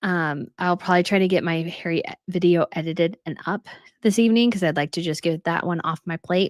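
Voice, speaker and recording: A woman's fairly low voice at a fairly quick pace, fairly even in intonation, in a very clean recording with a silent background and a dry, close sound with no echo. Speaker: royal news YouTuber. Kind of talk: live stream chat reading comments. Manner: fast.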